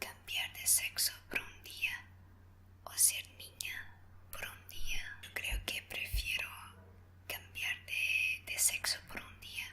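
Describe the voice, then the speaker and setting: Over noticeable background noise, a woman whispers very slowly with a non-native accent. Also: big swings in loudness. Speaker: ASMR creator. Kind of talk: ASMR would-you-rather Q&A. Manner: whispered, soft.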